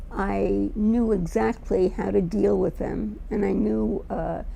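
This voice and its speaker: The speaker is a woman. She has a New York accent. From New York, Brooklyn. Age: 80s+. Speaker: retired teacher. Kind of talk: personal testimony.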